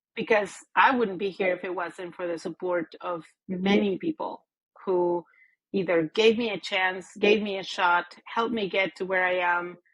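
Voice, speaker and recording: With a Spanish accent, a woman talks at a medium pitch and a moderate pace with fairly even intonation. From Mexico. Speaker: business executive. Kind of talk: interview. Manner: hesitant, many fillers and repeats.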